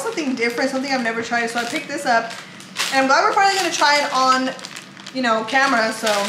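Noticeable background noise fills the clip. A woman with a high pitch talks at a very fast pace. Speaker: food vlogger. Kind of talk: casual vlog chat. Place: kitchen. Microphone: phone near.

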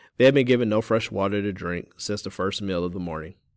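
Someone reads in a natural voice, and the pitch varies in an ordinary way.

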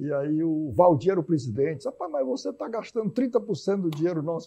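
A man's high-pitched voice at a very fast pace. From Teresina, Piauí, Brazil; Piauí, Brazil. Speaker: physician and healthcare executive; guest. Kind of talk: TV debate interview. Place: studio. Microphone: lapel.

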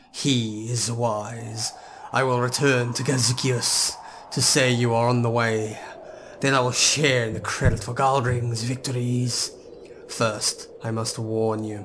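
A man puts on a character voice at a medium pitch and a fairly slow pace. Background noise is clearly audible. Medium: game stream.

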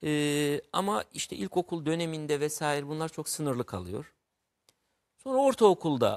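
A man with a fairly high pitch talks at a fairly slow pace over a quiet background. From Turkey, Mardin; Turkey. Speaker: writer; guest. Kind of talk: interview about literature. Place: studio. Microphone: lapel.

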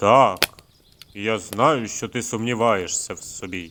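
Using a booming, put-on character voice, a man speaks at a fairly slow pace with a medium pitch. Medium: read story. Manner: menacing, ominous.

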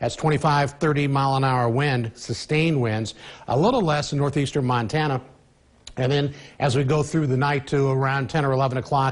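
A man speaks at a moderate pace in a somewhat breathy voice with fairly even intonation and very even loudness over a quiet background. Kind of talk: weather forecast presentation. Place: studio. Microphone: lapel.

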